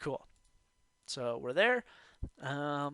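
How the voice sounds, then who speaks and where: A man with an American accent speaks at a fairly high pitch in a bright, sharp tone, with a dry, close sound with no echo and a very clean recording with a silent background. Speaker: forex trading youtuber. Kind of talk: tutorial. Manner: casual, filler-heavy.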